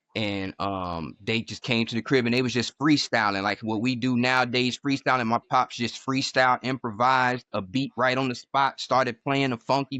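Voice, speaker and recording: At a moderate pace with hardly any pauses, this unremarkable speaking voice keeps a fairly even intonation. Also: man. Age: 40s. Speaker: music producer. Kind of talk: casual chat.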